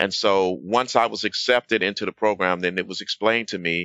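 A man's very deep, low voice with a bright, sharp tone and an American accent, at a moderate pace with fairly even intonation, against a quiet background. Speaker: program graduate and software engineer. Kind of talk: interview chat. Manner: halting, many fillers.

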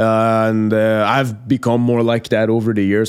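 A man speaks with a Persian accent at a moderate pace. His pitch sits fairly low. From Iran. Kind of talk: interview.

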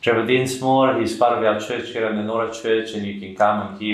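A man with an Australian accent speaks in monotone, flat intonation. Noticeable background noise runs under the recording. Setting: studio.

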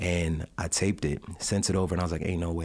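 Over a very clean recording with a silent background, a man with a New York accent talks at a very fast pace in a very deep, low voice. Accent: New York, can also do Jamaican. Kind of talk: casual interview chat. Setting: studio. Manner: earnest, faith-focused.

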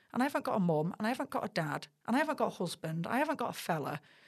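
Against a quiet background, a woman with a fairly high pitch makes very wide pitch swings. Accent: Mancunian. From Manchester, Middleton. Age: 40s. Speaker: sports broadcaster. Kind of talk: casual chat.

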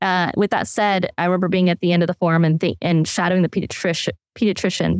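A woman with an Upper Midwest accent speaks very fast in a flat monotone. The sound is dry and close, with no echo. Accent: Upper Midwest American. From Wisconsin. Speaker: life coach. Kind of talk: interview storytelling.

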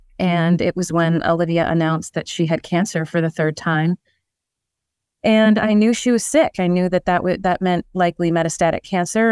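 A woman with an American accent, fairly low in pitch, at a moderate pace, in a dry, close recording with no echo. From Chicago. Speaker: singer, tribute artist. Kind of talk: casual interview. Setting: remote call.

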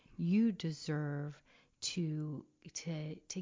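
A woman's voice is somewhat breathy. Her pitch varies in an ordinary way. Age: 40s. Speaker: parenting coach and podcast host. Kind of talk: casual interview chat.

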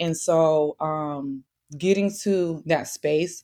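A woman with a very deep, low pitch and ordinary pitch variation, with an American accent, in a very clean recording with a silent background. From US Midwest, St. Louis. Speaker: podcaster. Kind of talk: testimony. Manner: animated.

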